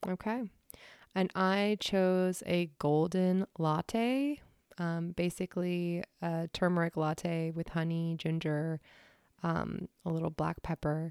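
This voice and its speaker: Speaking very slowly, a woman uses a Pacific Northwest accent and a fairly low pitch with ordinary variation. The recording is very clean with a silent background and a dry, close sound with no echo. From US Pacific Northwest, Washington State. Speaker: podcast host. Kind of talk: casual chat.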